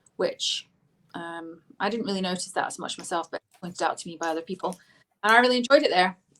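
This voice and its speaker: A woman's very fast speech in a Scottish accent, medium in pitch with ordinary pitch variation. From Scotland, Lanarkshire (Biggar), then Devon from age ten. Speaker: politician. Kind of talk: interview. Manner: hesitant, many fillers.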